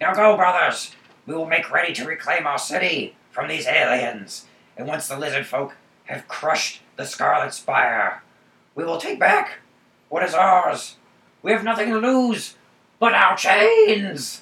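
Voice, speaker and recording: At a moderate pace, a man puts on a character voice with a high pitch. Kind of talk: fiery revolutionary speech. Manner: rousing, declamatory.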